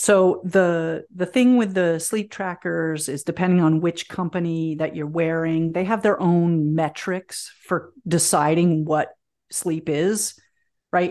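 A woman at a moderate pace with a fairly low pitch and fairly even intonation, a plain, everyday voice, and a quiet background. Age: 50s. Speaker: herbalist and teacher. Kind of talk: interview conversation.

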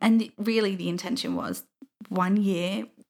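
Speaking at a fairly quick pace, a woman of medium pitch shows vocal fry. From England (southeast, then Yorkshire). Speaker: university student and mother. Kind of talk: casual interview chat.

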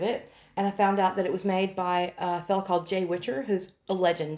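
In a very clean recording with a silent background, the words come very fast. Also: woman. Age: 50s. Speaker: podcast co-host interviewer. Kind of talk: casual chat.

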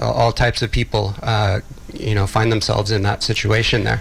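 A man's fairly low voice amid noticeable background noise. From Texas, Austin. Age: 40s. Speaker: filmmaker. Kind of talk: interview. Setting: radio studio.

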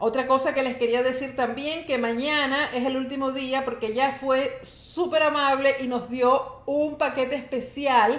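In a room with audible echo, a woman with a high-pitched voice talks at a fairly slow pace in an animated tone, with hardly any pauses. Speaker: health podcast host and wellness coach. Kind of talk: live-streamed solo podcast talk. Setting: live stream.

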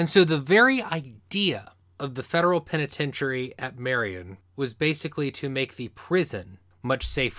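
With an unremarkable speaking voice, a man talks at a moderate pace and a fairly high pitch, his intonation lively. The recording is very clean, with a silent background. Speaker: podcast host. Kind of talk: true-crime narration, scripted history podcast storytelling. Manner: steady, measured, serious narrator pace; formal, explanatory, matter-of-fact delivery.

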